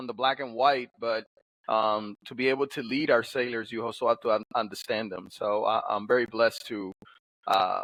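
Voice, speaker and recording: With fairly even intonation, a man speaks at a moderate pace and a medium pitch. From Dominican Republic, then New Jersey from age 14. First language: Spanish. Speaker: navy sailor and author. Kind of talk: interview. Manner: halting, frequent repetitions.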